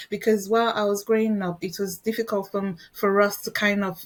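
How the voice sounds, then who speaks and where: A woman speaks with a Nigerian accent at a medium pitch. Her intonation is monotone and flat. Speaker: educator and researcher. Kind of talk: interview conversation. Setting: podcast interview. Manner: halting.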